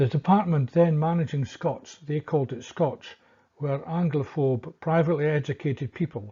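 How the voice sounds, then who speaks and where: Against a quiet background, a man speaks at a moderate pace and fairly high pitch, his voice somewhat breathy with a dark, mellow tone and ordinary pitch variation. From Scotland. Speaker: history commentator. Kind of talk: scripted narration.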